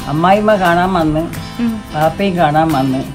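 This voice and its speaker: Over clear music in the background, a woman speaks at a fairly low pitch with fairly even intonation. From Kerala. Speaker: grandmother. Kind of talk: interview answer, recalling her own wedding. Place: garden. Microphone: phone near.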